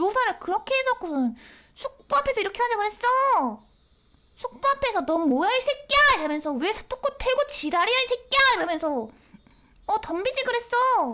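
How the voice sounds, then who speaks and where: A woman projects a raised voice at an extremely high pitch, bright and sharp in tone. Her pitch swings very widely. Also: moderate pace. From Korea. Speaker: VTuber game streamer. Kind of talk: game stream commentary with reading aloud. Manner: animated.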